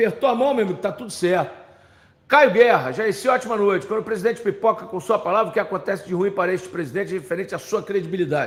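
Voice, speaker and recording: Talking at a very fast pace, a man uses an animated tone and a high pitch with ordinary pitch variation. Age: 60s. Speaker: football pundit. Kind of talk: live commentary.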